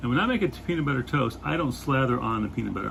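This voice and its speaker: A man talks over noticeable background noise. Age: 50s. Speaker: fantasy author. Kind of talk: casual talk to camera. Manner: hesitant, repetitive.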